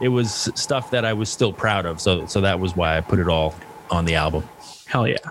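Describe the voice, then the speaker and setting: Amid noticeable background noise, the voice moves at a fairly quick pace with ordinary pitch variation. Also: man, very deep, low pitch for a man. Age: 50s. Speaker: stand-up comedian. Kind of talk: casual interview chat.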